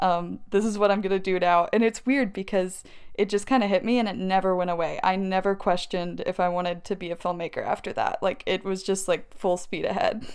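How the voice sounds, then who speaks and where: With an American accent, a woman in an unremarkable speaking voice keeps a medium pitch, fairly even intonation and a fairly quick pace with hardly any pauses, on a very clean recording with a silent background. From US South, Tennessee (Maryville). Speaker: filmmaker. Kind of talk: casual chat.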